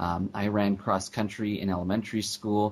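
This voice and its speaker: At a moderate pace, a man with a Canadian accent and a fairly low pitch speaks in an ordinary speaking voice with ordinary pitch variation. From Canada, Vancouver. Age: 20s. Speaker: paralympic athlete and public speaker. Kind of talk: interview.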